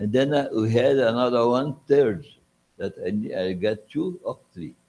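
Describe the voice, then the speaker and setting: A man with a Brazilian Portuguese accent and lively intonation. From Brazil, Goiás. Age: 80s+. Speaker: physiology professor. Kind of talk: reminiscence at an honorary symposium. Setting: auditorium with audience. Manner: halting.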